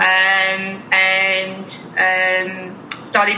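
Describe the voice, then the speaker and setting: The speaker has an English accent. Noticeable background noise and audible room echo are present. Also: woman. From England. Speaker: emergency vet. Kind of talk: casual interview.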